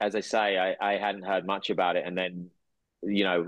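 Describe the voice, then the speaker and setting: In a southern English accent, a man speaks at a fairly low pitch and moderate pace. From England. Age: 40s. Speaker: actor and entrepreneur. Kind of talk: casual chat.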